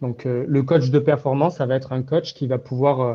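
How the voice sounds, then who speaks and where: This man talks at a moderate pace with a dark, mellow tone. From southwest France, Béarn near Pau. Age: 20s. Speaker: mental performance coach. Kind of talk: interview. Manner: hesitant, many fillers.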